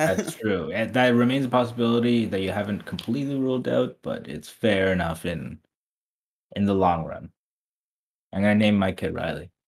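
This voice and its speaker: The speaker uses a plain, everyday voice at a moderate pace. The intonation is lively. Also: man, fairly low pitch for a man. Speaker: podcast host. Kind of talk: casual chat.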